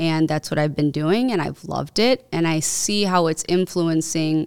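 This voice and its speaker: An American accent at a moderate pace. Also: woman. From Chicago area, US (Cicero). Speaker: tech startup founder and lawyer. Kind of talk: casual interview chat. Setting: podcast studio.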